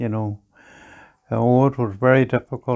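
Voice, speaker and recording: A man of medium pitch speaks with fairly even intonation. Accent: Northern Irish. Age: 90s. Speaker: farmer. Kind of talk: oral history interview.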